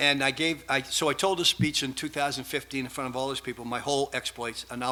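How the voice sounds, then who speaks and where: In a Boston accent, a man talks at a very fast pace. His intonation stays fairly even. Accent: Boston accent, noticeable. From Massachusetts, south of Boston. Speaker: researcher, conference speaker. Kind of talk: conference presentation. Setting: stage with audience. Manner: casual, improvised.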